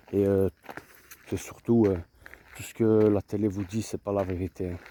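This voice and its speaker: A man talks at a moderate pace in a fairly low pitch. His intonation is monotone and flat. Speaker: vlogger, boxing coach. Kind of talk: casual vlog monologue. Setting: outdoors. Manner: halting, repetitive; soft-spoken.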